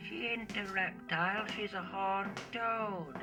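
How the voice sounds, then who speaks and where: Against loud background music, a put-on character voice at a middle pitch speaks at a fairly slow pace. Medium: short film. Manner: flat, plain-spoken.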